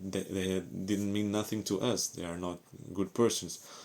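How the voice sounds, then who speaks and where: A man speaks with a Portuguese accent in a very deep, low pitch. His intonation is monotone and flat. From Portugal. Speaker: ex-Jehovah's Witness vlogger. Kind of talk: personal testimony. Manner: halting, with fillers.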